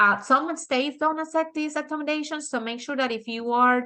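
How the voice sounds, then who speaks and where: A woman with a Dominican accent, bright and sharp in tone, at a moderate pace. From Dominican Republic. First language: Spanish. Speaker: architect and author. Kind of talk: webinar presentation. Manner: halting with many fillers.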